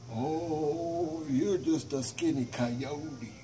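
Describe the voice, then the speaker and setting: Putting on a character voice, a man speaks at a fairly high pitch over clear background noise. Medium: solo performance. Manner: demanding.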